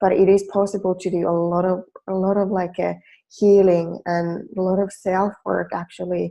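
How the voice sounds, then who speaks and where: The speaker has a Finnish accent. The delivery is at a moderate pace, with monotone, flat intonation. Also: woman, medium pitch for a woman. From Finland. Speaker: life coach. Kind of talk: webinar presentation. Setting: online webinar. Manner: hesitant with fillers.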